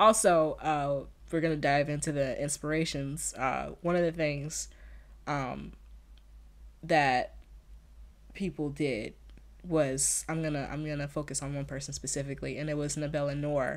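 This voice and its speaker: Woman with a very deep, low pitch, fairly even intonation, and a moderate pace broken by long, frequent pauses. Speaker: podcast host. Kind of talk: casual solo podcast intro. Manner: casual, filler-heavy, conversational.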